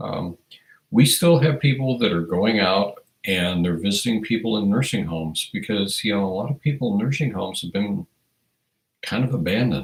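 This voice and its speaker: A man talks at a moderate pace in a US Midwestern accent. His fairly low voice has lively intonation. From Iowa, US Midwest. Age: 60s. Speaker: firearms educator, livestream host. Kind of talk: casual livestream chat reading viewer comments. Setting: livestream.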